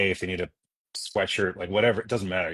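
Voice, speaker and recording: A man with a Californian accent and fairly low pitch, in a dry, close sound with no echo. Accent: Californian American. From Los Angeles. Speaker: musician. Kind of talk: casual livestream chat.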